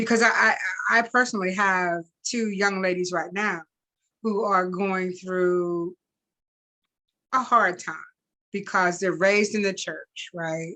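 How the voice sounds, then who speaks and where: Pausing long and often, a woman with a medium pitch and a bright, sharp tone speaks with fairly even intonation against a quiet background. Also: fairly slow pace. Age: 60s. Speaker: talk show host. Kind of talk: interview conversation.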